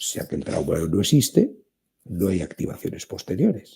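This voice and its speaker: A man with a Spanish accent speaks at a fairly slow pace in a dark, mellow tone. His voice is somewhat breathy and swings very widely in pitch. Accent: Spanish (Spain). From Spain. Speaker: therapist and author. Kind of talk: interview.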